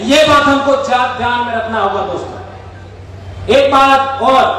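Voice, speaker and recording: A man speaks at an extremely high pitch, with audible room echo and noticeable background noise. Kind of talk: rally speech. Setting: outdoor rally ground with audience. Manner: loud, emphatic.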